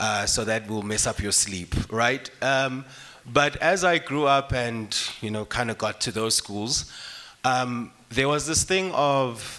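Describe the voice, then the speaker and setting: A man speaks at a very slow pace with lively intonation. His tone is bright and sharp. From South Africa, KwaZulu-Natal. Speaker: author and finance speaker. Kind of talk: panel discussion. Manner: casual, conversational.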